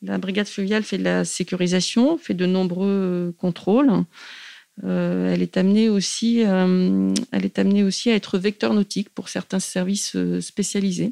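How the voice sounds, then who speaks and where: A fairly slow delivery in a dry, close sound with no echo, set against a quiet background. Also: woman. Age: 40s. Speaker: river police commander. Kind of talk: interview.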